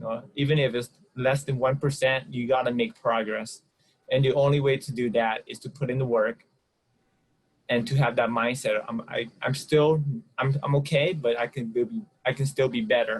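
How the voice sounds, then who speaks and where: Somewhat breathy and medium in pitch, a man speaks at a moderate pace with fairly even intonation. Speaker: podcast co-host. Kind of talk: casual podcast conversation. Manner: occasional stuttering.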